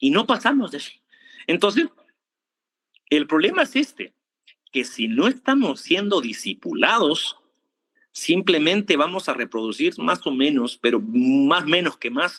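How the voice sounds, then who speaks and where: With long, frequent pauses at a fairly slow pace, a high-pitched man speaks with very wide pitch swings, the sound dry and close with no echo. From Argentina. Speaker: preacher. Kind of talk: sermon. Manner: animated.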